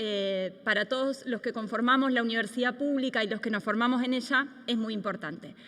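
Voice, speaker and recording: A woman speaks in a high, bright and sharp tone. Her intonation stays fairly even. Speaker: law professor and researcher. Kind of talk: lecture.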